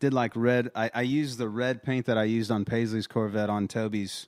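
The speaker has a Texas accent and a monotone, flat intonation at a moderate pace, in a very clean recording with a silent background. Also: man. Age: 30s. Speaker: songwriter and country artist. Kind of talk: casual chat. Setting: home studio. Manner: halting.

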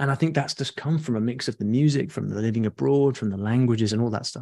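A man with a British accent is heard on a very clean recording with a silent background. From UK. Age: middle-aged. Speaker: online education entrepreneur. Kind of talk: interview.

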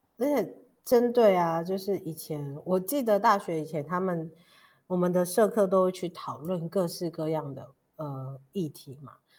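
A woman with a normal speaking voice and a fairly low pitch speaks at a fairly slow pace, with lively intonation and big swings in loudness, in a very clean recording with a silent background. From Taiwan, Pingtung (Paiwan). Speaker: podcast host. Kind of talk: interview conversation.

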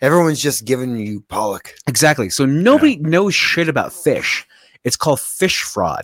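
A man's intonation is lively and his pitch fairly high as he talks at a moderate pace in an ordinary speaking voice. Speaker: podcast co-host. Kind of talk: casual chat. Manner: rambling, casual.

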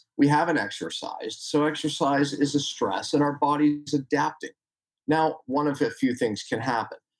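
With a plain, everyday voice, a man talks at a moderate pace, his fairly high pitch rising and falling in an ordinary way. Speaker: chiropractor and health educator. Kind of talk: podcast interview.

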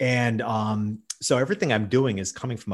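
Against a quiet background, a man with an American accent speaks in a plain, everyday voice, fairly low in pitch, at a moderate pace. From New York State. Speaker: business consultant and speaker. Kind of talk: interview.

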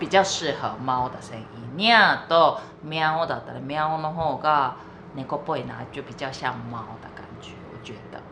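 Delivery is fairly slow. Background noise is clearly audible throughout. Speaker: podcast co-host, Japanese speaker. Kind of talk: casual bilingual chat.

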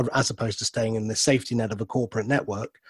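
A somewhat breathy male voice on a very clean recording with a silent background. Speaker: radio host. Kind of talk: radio interview. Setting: radio studio.

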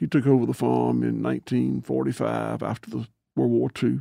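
The man talks fairly quickly. He has a Southern US accent. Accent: Southern US (Georgia). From US South, Georgia. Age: 60s. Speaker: farmer. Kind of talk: interview.

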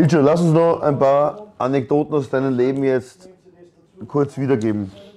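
The man's pitch sits in the medium range. Noticeable background noise runs under his speech. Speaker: podcast host. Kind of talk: casual chat. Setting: sports ground canteen.

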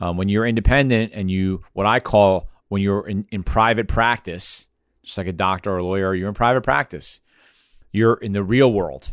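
The recording is very clean, with a silent background and a dry, close sound with no echo. The voice moves at a moderate pace with ordinary pitch variation. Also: man, fairly low pitch for a man. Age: 40s. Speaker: podcast host, consulting firm executive. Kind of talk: casual business chat. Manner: halting, with fillers and repeats.

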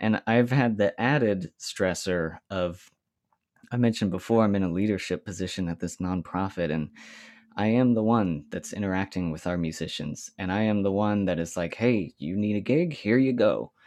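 A man with an ordinary speaking voice talks at a fairly low pitch and moderate pace, with ordinary pitch variation. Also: quiet background. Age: 30s. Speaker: clarinetist. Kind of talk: casual chat.

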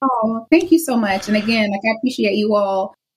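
Her fairly high, somewhat breathy voice carries an American accent and lively intonation. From US South. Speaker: anti-racism curriculum specialist and author. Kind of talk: interview. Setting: video call.

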